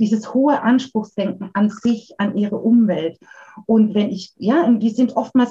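A woman's fairly high, somewhat breathy voice with a dark, mellow tone and ordinary pitch variation. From Baden, Karlsruhe area. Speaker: educator and giftedness counselor. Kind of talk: interview.

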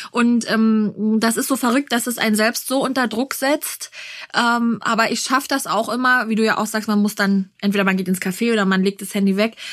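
Here is a plain, everyday voice from a woman, fairly high in pitch with fairly even intonation. She talks at a fairly quick pace on a very clean recording with a silent background. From Berlin. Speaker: podcast host and mother. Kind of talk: interview.

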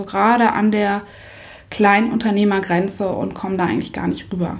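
A woman's somewhat breathy voice at medium pitch, monotone and flat in intonation, at a moderate pace. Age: 30s. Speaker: photographer. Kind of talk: interview.

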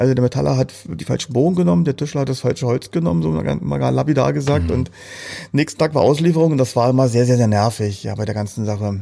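At a very fast pace, a man of medium pitch talks with very wide pitch swings. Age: 40s. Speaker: entrepreneur. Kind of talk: interview. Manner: halting.

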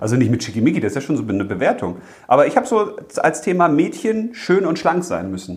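Animated in tone, a man talks at a very fast pace in a fairly high voice with very wide pitch swings, over noticeable background noise. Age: 40s. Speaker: children's author and podcast host. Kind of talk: casual chat.

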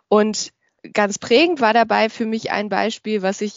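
A woman at a fairly high pitch talks at a fairly slow pace in a normal speaking voice. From Germany, Düsseldorf. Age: 30s. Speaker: podcaster and corporate training manager. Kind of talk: interview.

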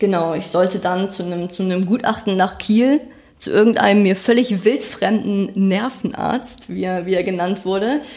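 This woman's voice sits at a medium pitch and moves at a moderate pace. The rise and fall of her pitch is ordinary. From northern Germany, rural Schleswig-Holstein. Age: 20s. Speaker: crime victim sharing her story. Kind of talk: testimony. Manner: halting.

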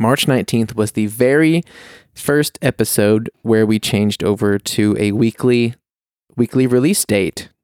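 A man talks at a fairly slow pace in a normal speaking voice of medium pitch, with ordinary pitch variation. His loudness stays very even, and the sound is dry and close with no echo. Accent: American. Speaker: podcast co-host. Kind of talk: casual chat. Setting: recording in a quiet house.

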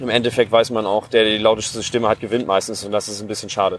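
Amid noticeable background noise, a man talks at a very fast pace, his fairly low pitch held in a monotone, flat intonation. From Germany, Hassel. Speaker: farmer and agricultural scientist. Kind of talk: interview. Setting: outdoors. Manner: halting.

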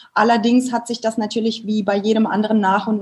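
A woman is speaking. Her voice sounds somewhat breathy. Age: 30s. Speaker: family photographer. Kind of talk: interview.

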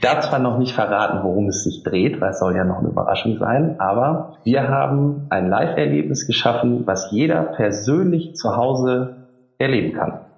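A man speaks at a medium pitch, with very wide pitch swings and hardly any pauses. Noticeable background noise and audible room echo are present. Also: moderate pace. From Emsland, northern Germany. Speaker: marketing agency founder. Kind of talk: interview. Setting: remote call from office.

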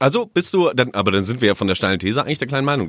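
Using very wide pitch swings around a medium pitch, a man talks at a very fast pace on a very clean recording with a silent background. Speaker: newsroom colleague, debate guest. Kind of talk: casual debate chat. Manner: provocative, teasing.

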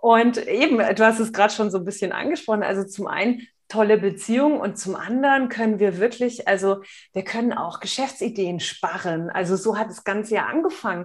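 In an unremarkable speaking voice, a woman talks at a fairly high pitch with ordinary pitch variation. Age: 40s. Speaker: nonverbal communication expert and entrepreneur. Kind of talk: casual interview.

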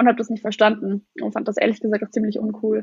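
A woman talks at a very fast pace. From eastern Germany, Lusatia (Brandenburg). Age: young. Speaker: young political candidate. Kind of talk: interview.

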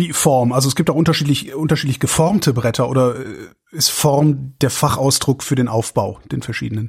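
Somewhat breathy, a man speaks at a moderate pace. His pitch is medium, with ordinary variation. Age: 50s. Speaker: podcast host. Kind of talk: interview.

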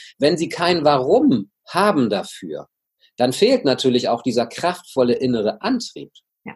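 A somewhat breathy man's voice, fairly high in pitch, at a fairly slow pace with very wide pitch swings. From northern Germany. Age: 50s. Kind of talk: interview. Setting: video call.

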